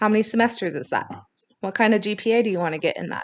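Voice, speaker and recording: This woman's voice sits at a medium pitch. Her intonation is fairly even. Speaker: college instructor. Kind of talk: recorded lecture. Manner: fast; casual, conversational.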